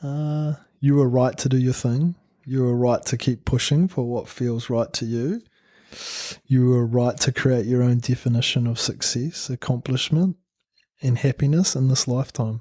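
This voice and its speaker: Dry and close with no echo, a man's dark, mellow voice at a medium pitch moves at a moderate pace with fairly even intonation. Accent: New Zealand. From New Zealand. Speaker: painter and printmaker. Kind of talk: interview. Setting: studio.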